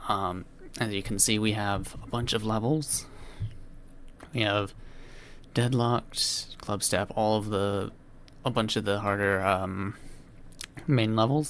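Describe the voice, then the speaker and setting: A man speaks in a normal speaking voice at a fairly slow pace, his pitch fairly low and his intonation fairly even. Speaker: gaming video creator. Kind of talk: casual gameplay commentary.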